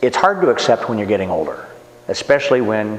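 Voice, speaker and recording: With noticeable background noise behind him, a man talks very rapidly. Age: 60s. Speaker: martial arts instructor. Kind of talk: interview.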